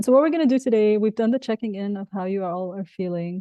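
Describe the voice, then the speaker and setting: Speaking very fast with an Arabic accent, a woman uses a dark, mellow tone and ordinary pitch variation. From Egypt. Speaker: professor and keynote speaker. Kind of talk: conference keynote.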